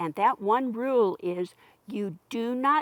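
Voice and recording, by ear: A natural voice, reading aloud.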